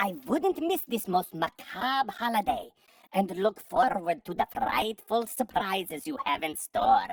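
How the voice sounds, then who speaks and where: A female-sounding put-on character voice, fairly high in pitch, speaks at a fairly slow pace with very wide pitch swings. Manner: spooky, theatrical.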